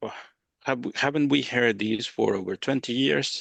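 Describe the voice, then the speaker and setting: With a non-native accent and vocal fry, the speaker moves at a moderate pace with ordinary pitch variation in a dry, close sound with no echo. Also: man. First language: not English. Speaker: regional government education manager. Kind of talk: panel discussion.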